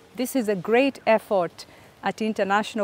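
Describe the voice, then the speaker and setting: At a moderate pace, a woman talks with fairly even intonation in a dry sound with no echo. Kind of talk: formal welcome address. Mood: calm, warm, formal. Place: garden. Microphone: lapel.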